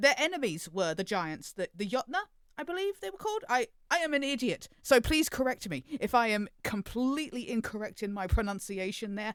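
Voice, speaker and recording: A woman's fairly high voice with very wide pitch swings, dry and close with no echo. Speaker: podcast co-host. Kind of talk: casual chat.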